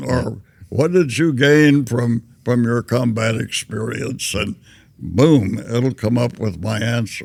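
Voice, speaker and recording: With a Southern US accent, a man talks at a very slow pace in a medium-pitched voice with ordinary pitch variation. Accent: Southern American. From Tennessee. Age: 80s+. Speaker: war veteran. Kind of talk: interview answer.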